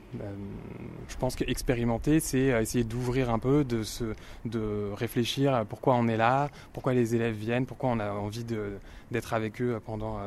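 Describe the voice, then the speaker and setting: In a medium pitch, a man speaks at a moderate pace with monotone, flat intonation. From Paris and inner suburbs, France. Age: 30s. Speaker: French teacher. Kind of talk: interview.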